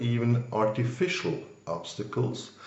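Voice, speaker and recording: This man's medium-pitched voice carries audible room echo, with noticeable background noise underneath. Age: 60s. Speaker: banker. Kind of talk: interview.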